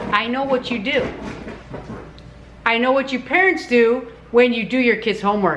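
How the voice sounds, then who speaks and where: Over noticeable background noise, a woman with a high pitch speaks at a moderate pace with lively intonation and long, frequent pauses. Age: old. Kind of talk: casual talk to camera. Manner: blunt, ranting.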